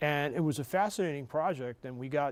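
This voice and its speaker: A man with a New York accent talks at a moderate pace and a fairly high pitch. The recording is very clean, with a silent background. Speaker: sportswriter and author. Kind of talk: TV interview.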